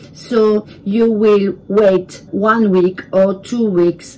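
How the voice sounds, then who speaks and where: This woman has a French accent and a medium-pitched voice. Her intonation stays fairly even. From France. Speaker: home cook video creator. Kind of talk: tutorial. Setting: home kitchen. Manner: halting.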